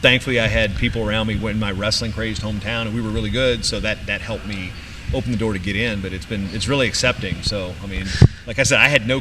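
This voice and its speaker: Speech at a very fast pace keeps fairly even intonation against noticeable background noise. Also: man. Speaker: wrestling announcer (PA announcer). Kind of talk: casual interview answer, storytelling.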